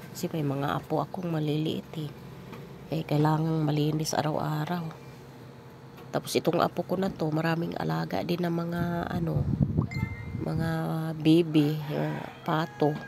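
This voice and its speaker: Over noticeable background noise, a woman with a very deep, low pitch speaks at a fairly slow pace with fairly even intonation and long, frequent pauses. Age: 50s. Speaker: vlogger and grandmother. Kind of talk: casual vlog talk.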